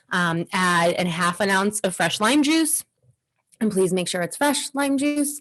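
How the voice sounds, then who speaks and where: Her pitch swings very widely while her loudness stays very even, as a woman speaks over a quiet background. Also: medium pitch for a woman, fairly slow pace. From suburb of Boston, Massachusetts. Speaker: podcast co-host. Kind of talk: casual chat. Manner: animated.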